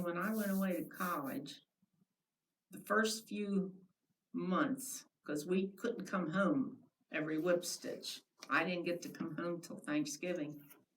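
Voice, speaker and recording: A somewhat breathy woman with an American accent speaks at a fairly slow pace and medium pitch, her intonation lively and broken by long, frequent pauses. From US Mid-Atlantic, lower Delaware. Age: 90s. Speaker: oral history interviewee, retired teacher. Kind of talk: oral history interview.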